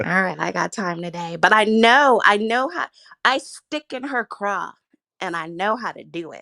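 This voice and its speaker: Bright, sharp and animated speech from a woman at a medium pitch, with lively intonation and a fairly slow pace. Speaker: live-stream commentator. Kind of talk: casual chat.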